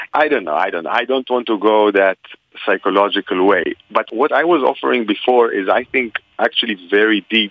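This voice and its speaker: A man with an Israeli accent, fairly low in pitch, with lively intonation at a fairly quick pace. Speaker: religion scholar. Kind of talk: interview answering questions. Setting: phone call.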